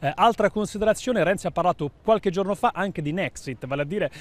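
The man's voice shows ordinary pitch variation, and the sound is dry with no echo. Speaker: political correspondent. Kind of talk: news report. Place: street. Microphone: handheld.

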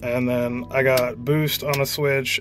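Clear music plays behind a man whose intonation stays fairly even. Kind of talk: tutorial. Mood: relaxed, casual. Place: car. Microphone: phone near.

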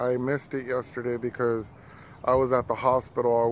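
Man at a moderate pace, dry sound with no echo, noticeable background noise. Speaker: vlogger. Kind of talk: casual vlog chat. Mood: calm, reflective, slightly somber. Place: street. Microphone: phone near.

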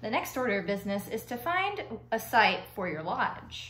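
A woman's voice in audible room echo. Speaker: reader of a children's novel. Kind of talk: read-aloud storytelling with character voices. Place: home room. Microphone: phone near.

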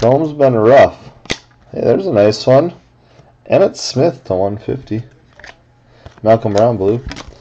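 Somewhat unhurried speech, with clearly audible noise in the background. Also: man. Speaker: card break host. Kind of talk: live card break commentary. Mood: upbeat, pleased. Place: home room. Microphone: webcam.

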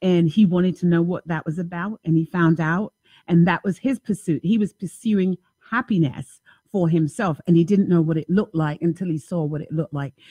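Somewhat breathy and fairly low for a woman, her voice moves at a fairly quick pace with ordinary pitch variation, in a dry sound with no echo over a quiet background. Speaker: talk show host. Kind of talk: call-in radio show talk. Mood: warm, lively, laughing. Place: home room. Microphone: studio mic.

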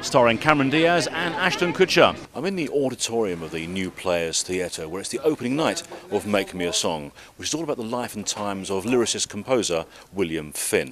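A man with a British accent talks at a fairly quick pace, his pitch swinging very widely, the sound dry with no echo and noticeable background noise behind him. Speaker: presenter, TV and radio broadcaster, event host, voice-over. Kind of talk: TV interview and red-carpet presenting. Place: hall.

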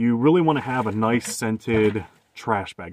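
This man's voice sits fairly low, with ordinary pitch variation. The sound is dry with no echo, though light background noise is present. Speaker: van dweller vlogger. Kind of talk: casual vlog chat. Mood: candid, lightly humorous. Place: car. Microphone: phone near.

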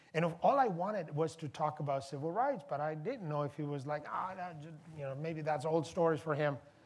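With ordinary pitch variation, this man talks at a fairly quick pace. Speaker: event host. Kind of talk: panel opening remarks. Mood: warm, reflective. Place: hall. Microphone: lapel.

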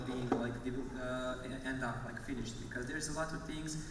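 A man speaks at a fairly quick pace, with audible room echo and noticeable background noise. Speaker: panel moderator. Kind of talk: moderator introduction. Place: stage.

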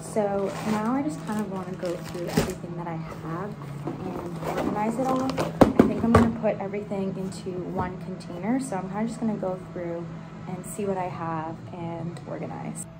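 A woman speaks with ordinary pitch variation. Loud background noise fills the recording. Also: moderate pace. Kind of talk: casual vlog chat. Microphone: phone near.

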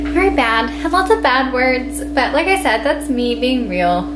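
Music plays in the background. A woman talks at a moderate pace. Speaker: vlogger. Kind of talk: casual vlog chat. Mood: apologetic, light laughter. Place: kitchen. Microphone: phone near.

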